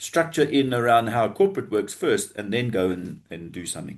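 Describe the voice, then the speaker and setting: A man with an unremarkable speaking voice talks at a moderate pace, his intonation lively. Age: 60s. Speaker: business funding advisor, former banker. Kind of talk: podcast interview.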